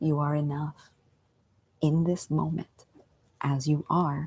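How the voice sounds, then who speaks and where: The voice has a dark, mellow tone, somewhat breathy and monotone, in a dry, close sound with no echo. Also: woman. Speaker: meditation teacher and coach. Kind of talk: guided meditation talk, live stream. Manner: unscripted, casual.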